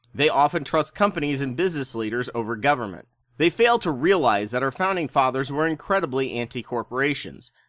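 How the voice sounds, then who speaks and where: In an unremarkable speaking voice, a man with an American accent talks at a fairly quick pace with fairly high pitch and lively intonation, the sound dry and close with no echo on a very clean recording with a silent background. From US Midwest, rural Indiana. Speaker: history video narrator, Navy veteran. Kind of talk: scripted narration.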